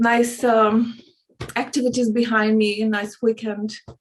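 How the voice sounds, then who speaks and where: A woman speaks very slowly in a Hungarian accent. Her fairly high pitch stays monotone and flat. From Hungary. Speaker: spiritual coach. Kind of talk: casual interview chat. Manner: halting.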